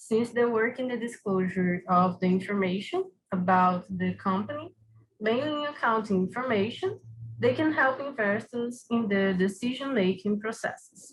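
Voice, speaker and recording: A woman with a Brazilian Portuguese accent, fairly high pitch, somewhat breathy, lively intonation and a moderate pace. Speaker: academic researcher. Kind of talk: conference paper presentation. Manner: hesitant.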